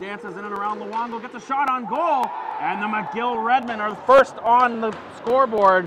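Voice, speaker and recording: A man's raised, projected voice in an animated tone, with noticeable background noise. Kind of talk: live sports commentary (hockey play-by-play). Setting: hockey arena broadcast. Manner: fast, animated play-by-play delivery that swells with excitement on goals.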